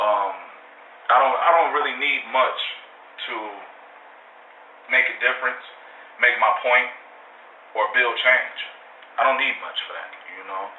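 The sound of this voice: Audible room echo surrounds a fairly slow delivery with long, frequent pauses and ordinary pitch variation. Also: man, medium pitch for a man.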